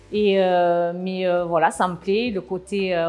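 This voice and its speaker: Very slowly, a woman of medium pitch speaks with fairly even intonation. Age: 40s. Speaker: production manager. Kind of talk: interview. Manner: hesitant, many filler sounds.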